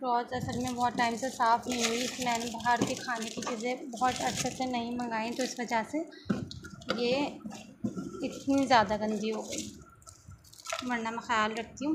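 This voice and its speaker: A soft-spoken woman with a high pitch, monotone, flat intonation and long, frequent pauses, over noticeable background noise. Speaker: vlogger, mother. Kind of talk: casual vlog talk. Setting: at home.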